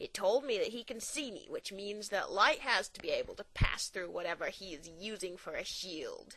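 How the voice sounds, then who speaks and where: Putting on a character voice, a woman at medium pitch keeps a moderate pace with hardly any pauses and big swings in loudness. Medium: read story. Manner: brash, cocky.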